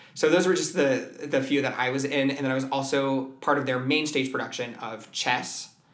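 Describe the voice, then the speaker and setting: The speaker, with an American accent, talks with hardly any pauses. Noticeable background noise sits behind the voice. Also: man, fairly high pitch for a man, fairly even intonation, moderate pace. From US West Coast, San Francisco Bay Area. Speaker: musical theater performer and voice teacher. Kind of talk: casual interview chat. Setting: music studio at a performing arts school.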